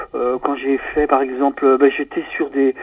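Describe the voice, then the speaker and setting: A man speaks at a moderate pace with a fairly high pitch, the sound dry and close with no echo. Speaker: voice actor. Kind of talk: interview. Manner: clear diction; distinctive way of speaking.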